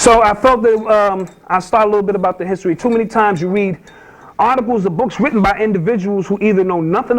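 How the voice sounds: A man's high-pitched voice at a fairly quick pace.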